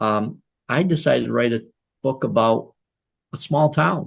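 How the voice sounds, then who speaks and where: With an Upper Peninsula Michigan accent, a man speaks in a medium pitch with vocal fry and lively intonation. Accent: Upper Midwest (Yooper). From Michigan Upper Peninsula. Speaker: author. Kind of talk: interview. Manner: halting.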